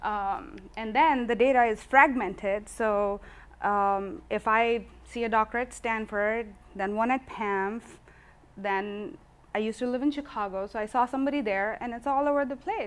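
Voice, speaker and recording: A woman's fairly high voice at a moderate pace with ordinary pitch variation, on a very clean recording with a silent background. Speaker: physician presenter. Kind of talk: presentation talk. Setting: meetup with live audience. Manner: soft-spoken.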